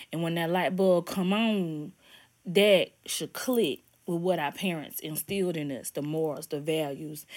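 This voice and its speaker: On a very clean recording with a silent background, a woman speaks slowly in a plain, everyday voice with a fairly low pitch and fairly even intonation. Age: 30s. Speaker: podcast host. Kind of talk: motivational monologue. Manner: casual, conversational.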